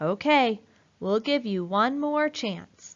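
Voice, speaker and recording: A woman's put-on character voice, fairly high in pitch, with lively intonation and a very slow pace. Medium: read story. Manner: brisk, businesslike.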